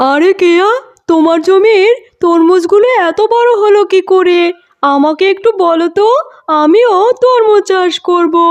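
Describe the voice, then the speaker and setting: A cartoonish character voice speaks at an extremely high pitch and a fairly slow pace. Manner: meek.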